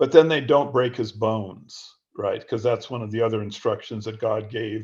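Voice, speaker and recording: Somewhat breathy delivery at a moderate pace with fairly even intonation over a quiet background. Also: man. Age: 70s. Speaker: author. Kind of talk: interview. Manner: halting.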